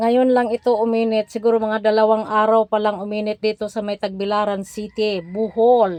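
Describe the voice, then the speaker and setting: A woman at a moderate pace, fairly high in pitch, with monotone, flat intonation and hardly any pauses, in a dry, close sound with no echo. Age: old. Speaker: vlogger. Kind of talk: casual vlog talk.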